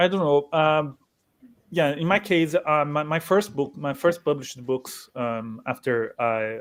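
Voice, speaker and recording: A man with a Portuguese accent and ordinary pitch variation, in a very clean recording with a silent background. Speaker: writer. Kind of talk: panel discussion. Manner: halting.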